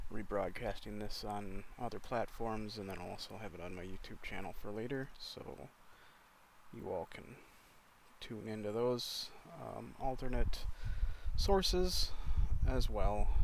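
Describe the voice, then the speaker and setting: A man talks at a fairly slow pace with long, frequent pauses. His loudness swings widely. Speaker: live streamer. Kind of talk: casual livestream talk. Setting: in a car. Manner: halting.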